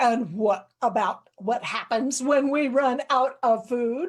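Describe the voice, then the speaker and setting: High-pitched put-on character voice from a woman, delivered at a fairly slow pace. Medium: read story.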